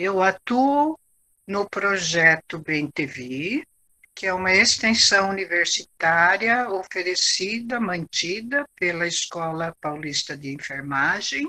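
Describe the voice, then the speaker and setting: A bright, sharp tone moves very slowly through very wide pitch swings, with a dry, close sound and no echo. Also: woman, medium pitch for a woman. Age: 70s. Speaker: teacher and biographical counselor. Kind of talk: talk. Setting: at home.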